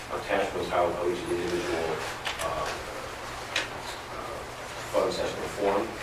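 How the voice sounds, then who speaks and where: Through loud background noise and audible room echo, a man speaks at a moderate pace. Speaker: presenter. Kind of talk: formal report reading. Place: meeting room.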